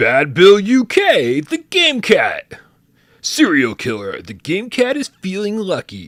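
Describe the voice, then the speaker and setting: Using a put-on character voice, a man talks fairly slowly at a high pitch. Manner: announcer-style.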